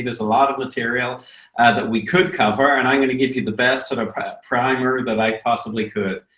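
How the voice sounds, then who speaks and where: A man talks at a very fast pace and a medium pitch, with audible room echo. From Northern Ireland. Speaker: business professor. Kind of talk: online lecture. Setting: video webinar. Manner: hesitant, many fillers.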